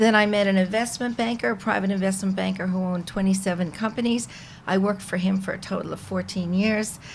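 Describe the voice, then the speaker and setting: The speech runs at a very fast pace, somewhat breathy, with fairly even intonation. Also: woman, medium pitch for a woman. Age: 60s. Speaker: podcast guest, mother of the host. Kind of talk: casual chat.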